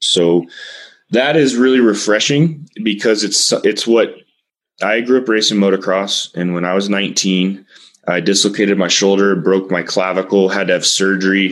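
Here a man speaks in a plain, everyday voice with an American accent. His pitch is fairly low, his pace moderate, and his pitch variation ordinary. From Texas. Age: 30s. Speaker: cannabis industry expert. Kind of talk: interview.

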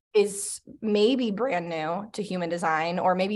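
This woman has an unremarkable speaking voice, with fairly low pitch and fairly even intonation. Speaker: co-host. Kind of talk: casual conversation.

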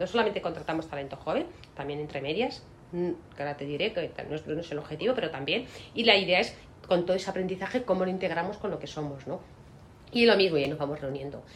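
Over noticeable background noise, a woman with fairly low pitch talks at a very fast pace with lively intonation. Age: 50s. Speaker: law firm managing partner. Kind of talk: interview.

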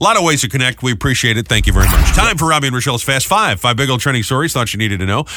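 Noticeable background noise sits behind a man with an American accent whose intonation is lively. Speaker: morning radio co-host. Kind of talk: casual chat. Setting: studio. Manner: fast talker.

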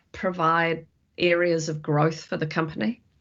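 In a New Zealand accent, a woman speaks with a fairly low pitch. She keeps a fairly slow pace. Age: 50s. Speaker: futurist and company director. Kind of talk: interview conversation.

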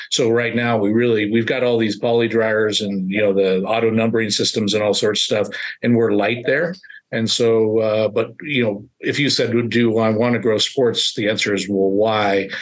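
An ordinary speaking voice, a man at medium pitch with fairly even intonation and a moderate pace. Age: 50s. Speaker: print shop owner. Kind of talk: podcast interview.

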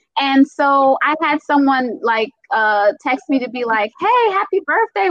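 With a Caribbean accent, a woman speaks in very wide pitch swings. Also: hardly any pauses. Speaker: speaker and self-love advocate. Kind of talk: casual panel chat. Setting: live online video stream.

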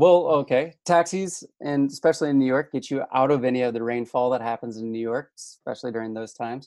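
In a Midwestern accent, a man talks at a very fast pace with hardly any pauses and ordinary pitch variation. His tone is dark and mellow, and the background is quiet. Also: medium pitch for a man. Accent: Midwest American. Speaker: podcast guest, hydrologist and show host. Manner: enthusiastic, casual.

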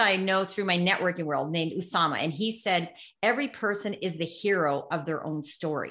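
A woman speaks at a moderate pace. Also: quiet background. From Canada. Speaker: social media strategist and keynote speaker. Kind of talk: interview. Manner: animated.

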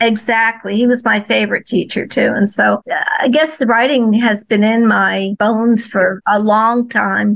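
A woman with an American accent talks in a normal speaking voice at a moderate pace, her fairly high pitch held in fairly even intonation, her loudness very even and hardly any pauses. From New Jersey and Florida. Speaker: children's author. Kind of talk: interview.

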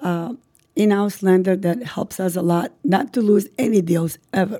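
Speaking with an Albanian accent, a woman uses a dark, mellow tone at a medium pitch, with ordinary pitch variation and a moderate pace. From North Macedonia (ethnic Albanian). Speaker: real estate broker and office owner. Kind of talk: podcast interview.

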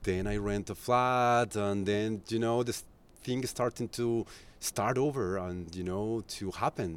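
A man with a Spanish accent speaks fairly slowly in a fairly low voice. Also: ordinary pitch variation. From Colombia. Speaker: tour guide and music journalist. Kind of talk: casual interview. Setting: rooftop terrace. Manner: halting.

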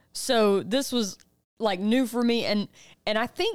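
On a very clean recording with a silent background, an ordinary speaking voice goes at a moderate pace with ordinary pitch variation. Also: woman. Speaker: podcast co-host. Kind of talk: casual chat.

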